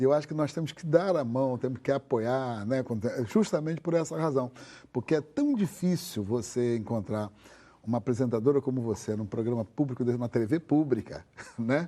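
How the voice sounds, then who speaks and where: Here a man speaks at medium pitch and a moderate pace. His tone is dark and mellow, with lively intonation. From Brazil, Rio de Janeiro. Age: 70s. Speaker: activist and religious scholar. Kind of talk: talk show interview. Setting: TV studio.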